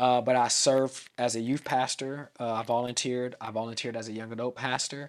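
A man with an American accent, fairly quick and with hardly any pauses, in a monotone, flat intonation. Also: medium pitch for a man. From US West Coast, Vallejo in the Bay Area. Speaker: pastor. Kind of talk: casual interview.

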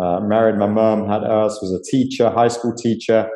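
A man with a British accent speaks at a moderate pace in a medium pitch. His intonation stays monotone and flat. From UK. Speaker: ministry leader. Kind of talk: interview.

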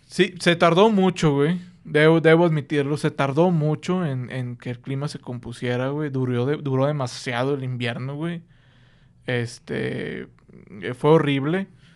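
Against a quiet background, a man with a Mexican accent speaks fairly slowly at a fairly high pitch with ordinary pitch variation. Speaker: podcast host. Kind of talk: casual chat. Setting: studio.

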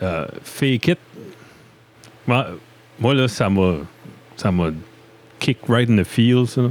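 At a very slow pace with long, frequent pauses, a man talks at a medium pitch with lively intonation. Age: 30s. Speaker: podcast host. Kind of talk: casual interview chat. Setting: basement studio. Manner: animated.

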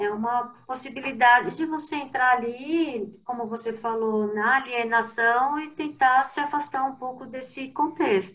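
Her pitch is high for a woman, with ordinary pitch variation. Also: fairly slow pace, hardly any pauses. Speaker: consumer behavior researcher. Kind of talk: casual chat.

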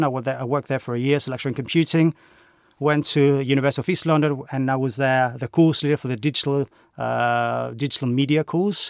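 With a Greek accent, a man talks at a very fast pace in a medium pitch with fairly even intonation, the sound dry and close with no echo. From Greece. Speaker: university lecturer and games course leader. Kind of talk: interview conversation. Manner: hesitant, filler words.

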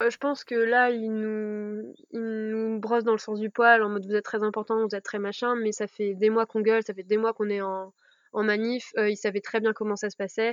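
A woman talks at a moderate pace in a fairly high pitch, her intonation monotone and flat, the sound dry and close with no echo. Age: 20s. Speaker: medical student. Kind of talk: interview. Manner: halting.

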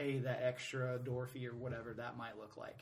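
A somewhat breathy man with an American accent is heard with audible room echo. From Atlanta, US South. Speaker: soccer supporters group president. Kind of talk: casual interview.

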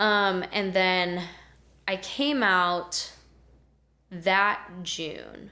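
A woman's medium-pitched voice with a bright, sharp tone and an American accent. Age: 20s. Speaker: podcast guest. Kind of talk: casual chat. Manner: animated.

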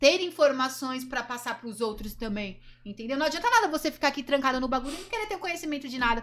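A woman talks at a very fast pace in a high pitch. Her intonation is lively. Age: 20s. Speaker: adult film actress and influencer. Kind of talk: casual chat.

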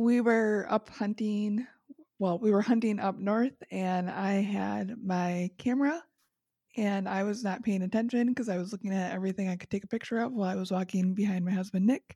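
Her voice has a dark, mellow tone at a medium pitch, as the woman speaks at a moderate pace with fairly even intonation. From Wisconsin. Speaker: podcast co-host guest. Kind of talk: casual chat.

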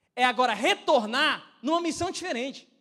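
With a Brazilian accent, a man speaks in a raised, projected voice. His tone is animated, bright and sharp. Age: 20s. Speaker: pastor. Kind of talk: sermon. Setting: church.

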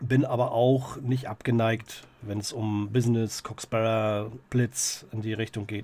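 A man speaks in a normal speaking voice at medium pitch. His intonation stays fairly even. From Greifswald, northeastern Germany. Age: 40s. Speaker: social worker and punk singer. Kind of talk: casual interview chat.

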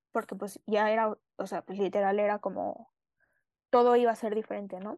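Over a quiet background, a woman speaks with a fairly high pitch, a dark, mellow tone and ordinary pitch variation. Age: 20s. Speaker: student, accident survivor. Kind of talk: interview testimony. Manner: halting, many fillers.

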